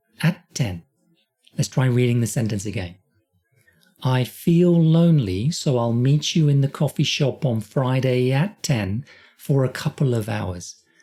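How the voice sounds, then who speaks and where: The speaker has a British accent and moves at a fairly slow pace. Long, frequent pauses break up the speech. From Britain. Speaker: English teacher. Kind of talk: tutorial. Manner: slow, deliberate repetition.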